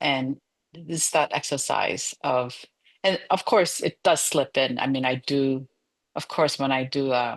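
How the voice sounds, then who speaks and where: A woman with a very deep, low pitch at a fairly slow pace. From Korea. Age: 60s. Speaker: theologian. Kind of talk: oral history interview. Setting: video call.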